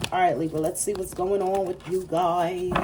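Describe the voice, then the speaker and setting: A woman with a fairly low pitch talks at a very fast pace in an animated tone over noticeable background noise. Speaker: tarot reader. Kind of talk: tarot reading monologue.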